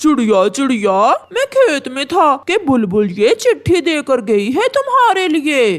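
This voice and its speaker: This is a cartoonish character voice, high in pitch. It moves at a fairly slow pace. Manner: lazy, sly.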